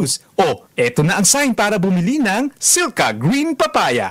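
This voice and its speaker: A man with a high pitch speaks at a fairly slow pace, his pitch swinging very widely while his loudness stays very even, in a dry, close sound with no echo. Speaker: voice actor. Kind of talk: radio commercial read.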